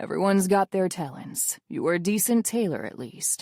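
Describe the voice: Pitch moves in an ordinary way through this plain reading aloud.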